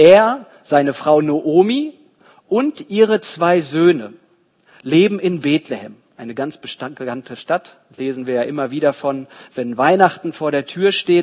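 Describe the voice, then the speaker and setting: A man's warm, fairly high-pitched voice with lively intonation at a very slow pace. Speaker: preacher. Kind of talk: sermon in church, expository Bible teaching. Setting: church. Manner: didactic, earnest, steady explanatory pace; warm, storytelling, engaging the congregation.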